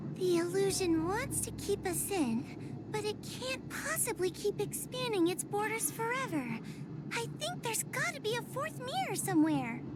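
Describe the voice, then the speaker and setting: A female-sounding, put-on character voice at a moderate pace, over loud background noise. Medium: video game. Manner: timid, hesitant.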